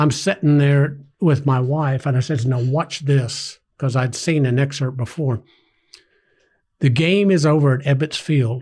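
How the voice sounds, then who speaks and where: A somewhat breathy man at a fairly slow pace, his pitch fairly high. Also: very even loudness, very clean recording, silent background. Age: 60s. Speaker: groundskeeper and former teacher. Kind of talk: casual chat. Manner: animated.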